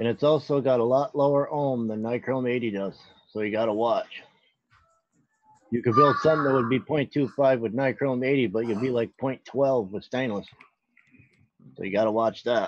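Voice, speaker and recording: A man with a northern US accent speaks at a moderate pace, his pitch medium and his intonation fairly even. He leaves long, frequent pauses, with music playing in the background. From Pennsylvania. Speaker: vaping show co-host. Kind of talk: tutorial.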